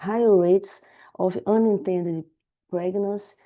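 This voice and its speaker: With a Portuguese accent, a woman speaks at a fairly slow pace in a dark, mellow tone. Her intonation is fairly even, and the background is quiet. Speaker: public health researcher. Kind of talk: webinar presentation. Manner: halting.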